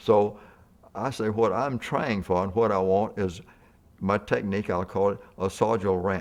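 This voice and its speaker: A man with a Mississippi accent speaks at a moderate pace in a fairly low pitch, with fairly even intonation, long and frequent pauses, and a quiet background. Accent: Southern US (Mississippi). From US South (Mississippi). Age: 80s+. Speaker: portrait painter. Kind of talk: casual chat. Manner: halting.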